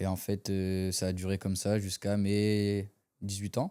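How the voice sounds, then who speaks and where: Fairly slow and fairly low, a man speaks in a dark, mellow tone. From France, Dunkirk area. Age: 20s. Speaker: para-badminton athlete. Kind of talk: interview testimony. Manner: hesitant, many fillers.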